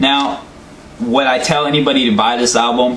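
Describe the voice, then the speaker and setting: There is noticeable background noise and audible room echo as a man talks with ordinary pitch variation. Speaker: album reviewer. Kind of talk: casual monologue review. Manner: halting, stuttering.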